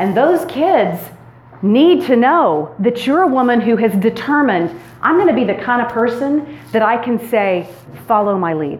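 A loud woman with an American accent speaks with very wide pitch swings, amid audible room echo and noticeable background noise. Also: fairly high pitch for a woman, moderate pace. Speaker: women's retreat speaker. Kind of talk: sermon-style talk to a women's retreat. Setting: stage with audience and PA system. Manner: energetic.

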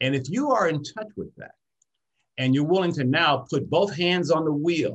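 Somewhat breathy, a man with an American accent uses a fairly high pitch with very wide pitch swings. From US, Detroit, Michigan. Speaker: personal branding expert. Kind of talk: interview conversation.

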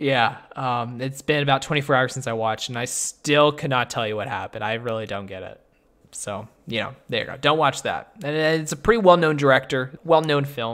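On a very clean recording with a silent background, a man in an ordinary speaking voice talks at a fairly quick pace with medium pitch, ordinary pitch variation and big swings in loudness. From Canada. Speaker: podcast host. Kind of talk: casual chat.

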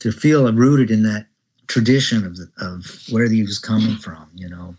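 A man with a Midwestern US accent talks at a moderate pace in a fairly low pitch, on a very clean recording with a silent background. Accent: General American (Midwestern). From Nebraska, US Midwest. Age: 60s. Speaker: jazz bassist. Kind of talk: interview conversation. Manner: hesitant, many fillers.

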